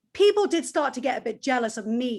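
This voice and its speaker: Energetic and high-pitched, a woman talks at a fairly quick pace. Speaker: former college radio DJ, music marketer. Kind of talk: panel discussion.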